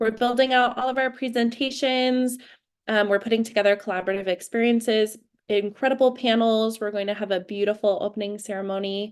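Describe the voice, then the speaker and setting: A woman speaks with fairly high pitch and fairly even intonation at a fairly quick pace. She has an unremarkable speaking voice. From California, US. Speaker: webinar host. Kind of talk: live webinar introduction.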